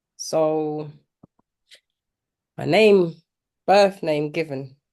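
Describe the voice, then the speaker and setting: A woman's very deep, low voice with a dark, mellow tone, fairly even intonation and a London accent. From East London, UK. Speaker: mentee, mother. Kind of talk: interview testimony.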